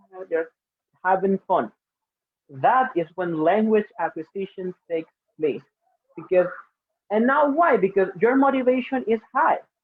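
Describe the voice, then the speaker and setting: This man's intonation is lively. He speaks at a fairly slow pace. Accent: Spanish. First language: Spanish. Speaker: English teacher. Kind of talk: webinar presentation. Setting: webinar streamed live online.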